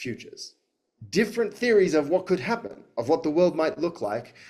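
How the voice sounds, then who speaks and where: Speaking with an Australian accent, a man moves at a fairly quick pace. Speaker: futurist and educator. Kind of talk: talk to audience. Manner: hesitant, many fillers.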